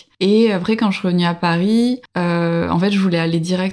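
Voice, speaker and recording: At a moderate pace, a woman talks in a plain, everyday voice, fairly low in pitch, with fairly even intonation. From France, Bordeaux. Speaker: early childhood educator and traveller. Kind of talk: interview testimony.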